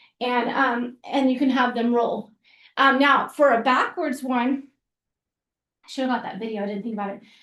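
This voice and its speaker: A woman speaks in a high voice with fairly even intonation. She leaves long, frequent pauses. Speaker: physical therapist and gymnastics coach educator. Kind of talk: webinar tutorial with demonstration. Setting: online webinar. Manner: fast; casual with many fillers.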